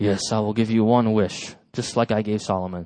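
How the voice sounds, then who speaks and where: Using a booming, put-on character voice, a man speaks at a moderate pace with a fairly low pitch and monotone, flat intonation. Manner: majestic, commanding.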